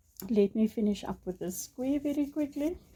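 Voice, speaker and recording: Her voice has a dark, mellow tone, somewhat breathy, with lively intonation as this woman talks. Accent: South African. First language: Afrikaans. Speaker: crochet tutorial creator. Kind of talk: tutorial. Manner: hesitant, many ums and uhs.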